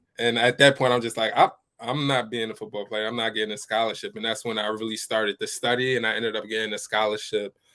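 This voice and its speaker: Very fast, flat, monotone delivery in a New York accent, with hardly any pauses. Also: man, medium pitch for a man. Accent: New York American. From New York, US (born Ivory Coast). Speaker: business coach. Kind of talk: interview.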